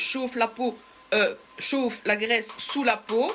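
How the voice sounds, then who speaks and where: Music plays behind a woman speaking at a fairly slow pace. Her pitch varies in an ordinary way. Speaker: beauty salon owner. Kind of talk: product demonstration. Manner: halting; loud. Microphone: far from the mic.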